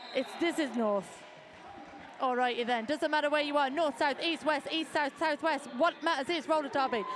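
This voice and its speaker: A woman with an English Midlands accent speaks in an animated tone at a moderate pace. Noticeable background noise can be heard. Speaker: sports announcer. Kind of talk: live commentary.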